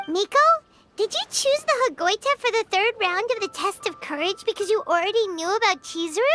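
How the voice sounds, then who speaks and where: A put-on character voice at an extremely high pitch speaks at a fairly quick pace over music in the background. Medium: video game.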